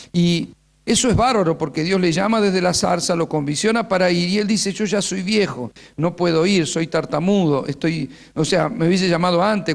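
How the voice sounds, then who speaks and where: Speaking with an Argentine accent, a man talks at a high pitch and fairly quick pace, with ordinary pitch variation and very even loudness. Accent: Argentine Spanish (rioplatense voseo). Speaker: pastor and teacher. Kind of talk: sermon-style teaching workshop.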